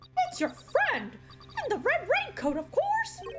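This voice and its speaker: Over loud background noise, a put-on character voice speaks at an extremely high pitch and a fairly slow pace. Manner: playful, taunting.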